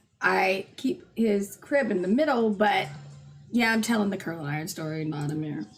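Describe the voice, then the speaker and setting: With music in the background, a voice moves at a moderate pace with lively intonation. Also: woman, medium pitch for a woman. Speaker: livestream co-host. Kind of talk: casual chat. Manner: loud.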